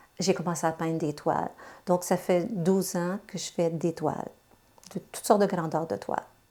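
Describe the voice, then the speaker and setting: A woman's plain, everyday voice, fairly low in pitch, with fairly even intonation and a moderate pace. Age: 60s. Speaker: retired translator and amateur painter. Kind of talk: interview testimony.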